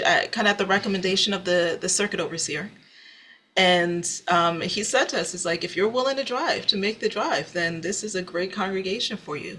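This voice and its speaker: A woman with an American accent speaks at a moderate pace and medium pitch, with ordinary pitch variation and noticeable background noise. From US Northeast (New Jersey). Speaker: singer-songwriter. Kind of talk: interview. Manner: halting.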